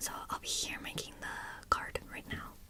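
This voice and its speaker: Fairly slowly, a woman speaks in a whisper. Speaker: college student; retail worker. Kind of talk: ASMR study session, whispered talk to camera. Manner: whispered, soft-spoken. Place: home room. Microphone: earbuds.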